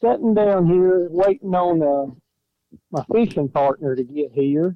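With an Alabama accent, a man speaks in a high pitch and lively intonation. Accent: Alabama Southern. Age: 40s. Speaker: caller, fan phoning into a podcast. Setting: phone. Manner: joking, teasing.

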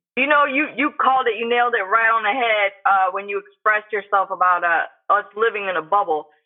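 Fairly quick, American-accented speech with hardly any pauses. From St. Petersburg, Florida. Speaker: professional boxer. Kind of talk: casual interview.

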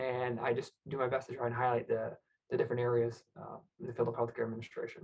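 Speaking very fast in a somewhat breathy voice, a man with an American accent keeps to a medium pitch. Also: fairly even intonation. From Michigan, US. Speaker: healthcare administrator and podcast host. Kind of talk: interview conversation. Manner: halting, many fillers and repeated words.

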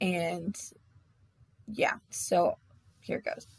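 This woman's voice is somewhat breathy, sitting at a medium pitch with ordinary pitch variation. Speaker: podcast host. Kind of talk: casual storytelling monologue. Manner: rambling with many fillers.

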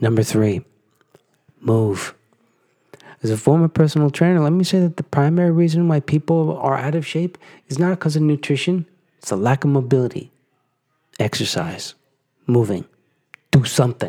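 At a moderate pace with long, frequent pauses, a man with a fairly high pitch and a dark, mellow tone speaks with lively intonation in a dry, close sound with no echo. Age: 40s. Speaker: podcast host, fitness. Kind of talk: solo podcast monologue, motivational talk.

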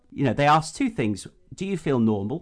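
Speaking with an English accent, a man keeps a fairly quick pace. His intonation is lively. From UK, rural agricultural background. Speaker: podcast co-host. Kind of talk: casual chat.

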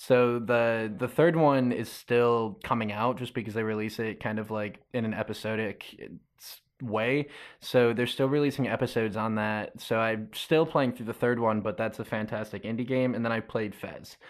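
A man speaks in an unremarkable speaking voice of medium pitch, with fairly even intonation, hardly any pauses and a moderate pace, against a quiet background. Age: 20s. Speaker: concert poster illustrator. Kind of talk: casual chat.

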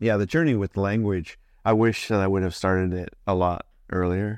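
Against a quiet background, someone with a General American accent speaks at a moderate pace with fairly even intonation. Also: man. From Colorado Springs, US. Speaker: church planter and regional director. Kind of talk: casual interview conversation. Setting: mobile studio, on location.

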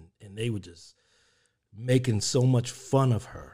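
A man speaks at a moderate pace in a somewhat breathy voice. The recording is very clean, with a silent background. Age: 50s. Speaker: podcast host. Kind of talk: casual chat.

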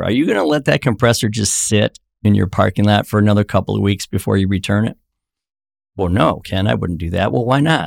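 A man with vocal fry and a fairly low pitch talks very fast with ordinary pitch variation, in a very clean recording with a silent background and a dry, close sound with no echo. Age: 50s. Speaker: author and entrepreneur. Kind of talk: casual chat.

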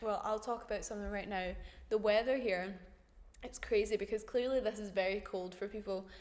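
The speaker talks at a fairly quick pace in a British accent, with monotone, flat intonation. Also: woman, fairly high pitch for a woman. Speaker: podcast co-host, English language assistant. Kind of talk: casual chat.

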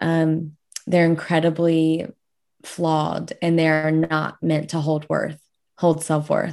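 A woman's very deep, low voice with an American accent, at a very slow pace, with monotone, flat intonation and very even loudness. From South Louisiana. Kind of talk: casual interview.

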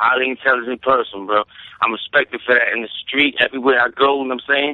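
A man at medium pitch, talking at a very fast pace. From Brooklyn, New York. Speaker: rapper guest. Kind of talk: casual interview chat.

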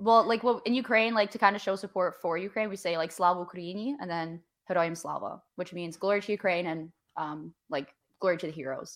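Someone with a Canadian accent speaks at a fairly quick pace with ordinary pitch variation. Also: woman, medium pitch for a woman. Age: 20s. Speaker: podcaster and graduate student. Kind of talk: casual chat. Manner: loud.

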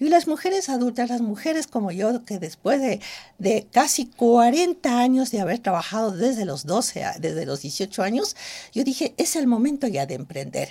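A woman speaks in a fairly high pitch with a dark, mellow tone. Her voice shows vocal fry and very wide pitch swings. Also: moderate pace. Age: 60s. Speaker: cosmetic trichologist and entrepreneur. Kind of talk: interview. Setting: studio.

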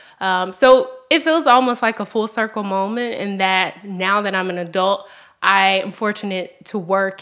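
A woman with a Memphis accent, medium in pitch, at a moderate pace with ordinary pitch variation. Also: hardly any pauses. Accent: Southern US (Memphis). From US South, Memphis, Tennessee. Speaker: nonprofit research specialist. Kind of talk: casual interview.

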